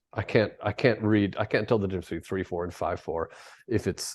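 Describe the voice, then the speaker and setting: The speaker has an American accent and a fairly quick pace. Intonation stays fairly even over a quiet background. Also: man. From US Midwest, Minnesota. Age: 60s. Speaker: conductor and music teacher. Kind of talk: casual interview chat. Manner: halting, many restarts.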